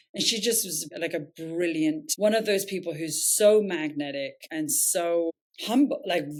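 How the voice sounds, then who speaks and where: Fairly low-pitched woman's voice at a fairly slow pace, with lively intonation. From southern England. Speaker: nonprofit founder and CEO. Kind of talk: podcast interview. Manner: hesitant, many fillers.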